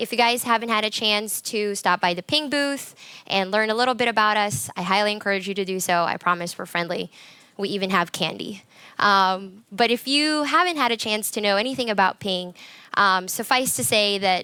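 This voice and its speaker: Loud and bright with a sharp tone, a woman with an American accent speaks at a medium pitch and moderate pace. Her pitch varies in an ordinary way, and the recording is very clean with a silent background. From US, Colorado. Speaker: conference speaker. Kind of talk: conference talk. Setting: stage with audience.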